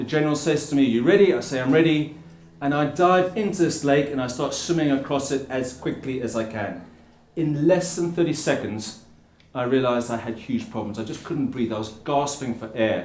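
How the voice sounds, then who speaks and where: A man with a South African accent speaks at a moderate pace with a fairly high pitch and lively intonation. There is audible room echo. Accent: South African tinge. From England (Plymouth) and Africa. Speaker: endurance swimmer and ocean advocate. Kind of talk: public speech. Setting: stage with audience under a tent.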